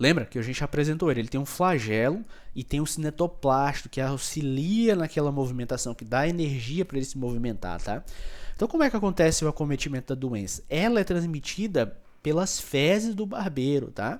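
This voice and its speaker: The speaker has an animated tone and lively intonation at a fairly quick pace. The recording is very clean with a silent background. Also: man, fairly high pitch for a man. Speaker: microbiology teacher. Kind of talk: lecture. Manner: fast.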